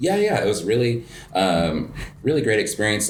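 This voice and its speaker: A man with an American accent talks at a fairly quick pace. Music plays in the background, and room echo is audible. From New Mexico, US. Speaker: coffee shop owner and barista. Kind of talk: casual interview. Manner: hesitant, many fillers.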